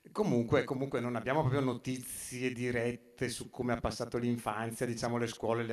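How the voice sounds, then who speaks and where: A man's flat, monotone voice at a moderate pace, with audible room echo and a quiet background. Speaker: speaker at exhibition opening, photographer's descendant; speaker. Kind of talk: public talk. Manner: halting, many fillers. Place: hall. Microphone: camera far.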